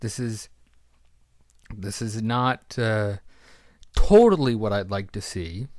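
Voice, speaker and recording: The background is silent and the recording very clean. A man is talking. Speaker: wrestling fan vlogger. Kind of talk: casual monologue.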